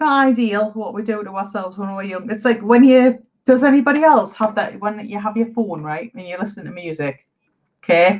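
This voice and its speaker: Moving at a moderate pace, a woman with an ordinary speaking voice and a fairly high pitch shows big swings in loudness. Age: 40s. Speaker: live chat streamer. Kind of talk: casual chat.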